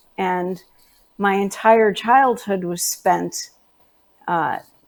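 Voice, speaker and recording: Speaking very slowly in a New York accent, a woman holds a medium pitch with ordinary pitch variation. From New York City (Manhattan). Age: 60s. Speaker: natural health specialist. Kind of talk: interview.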